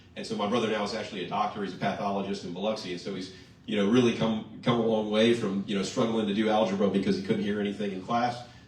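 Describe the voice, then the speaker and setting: Talking at a very fast pace with hardly any pauses, a man with a fairly low pitch keeps his intonation fairly even amid audible room echo. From Louisiana, Mandeville. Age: 30s. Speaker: politician. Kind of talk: campaign speech.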